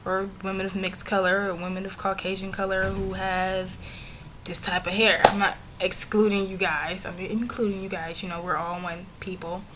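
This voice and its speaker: A woman's medium-pitched voice at a moderate pace, monotone and flat, with big swings in loudness and audible room echo. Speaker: vlogger. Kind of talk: casual vlog monologue.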